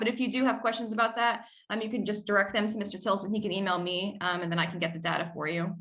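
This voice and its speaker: In an American accent, a woman talks at a very fast pace with a bright, sharp tone and audible room echo. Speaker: military air traffic controller. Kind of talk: presentation briefing.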